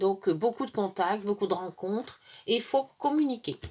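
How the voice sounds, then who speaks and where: On a very clean recording with a silent background, a woman talks at a medium pitch. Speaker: tarot card reader. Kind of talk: astrology card reading. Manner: halting, stumbling.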